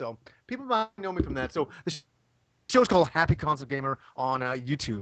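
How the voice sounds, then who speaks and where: An animated man's fairly high voice, full of lively intonation and big swings in loudness. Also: fairly quick pace. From Canada (born in England, moved at 8). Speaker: retro video game YouTuber. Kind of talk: casual podcast chat.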